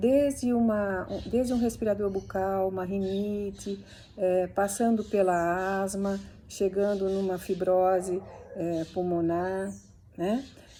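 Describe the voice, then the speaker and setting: A woman at a very slow pace, medium in pitch, dark and mellow in tone, with fairly even intonation. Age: 60s. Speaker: physiotherapist. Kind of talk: instructional talk. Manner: hesitant, with fillers.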